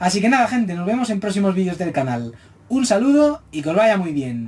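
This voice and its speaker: A high-pitched man speaks at a fairly quick pace, his pitch swinging very widely. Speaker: manga reviewer. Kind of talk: video review monologue. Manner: fast; stumbling over words.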